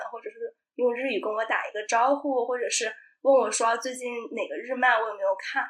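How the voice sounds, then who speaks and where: A woman talks at a fairly quick pace. Her voice sits high in pitch. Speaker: sustainable lifestyle video blogger. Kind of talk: casual chat.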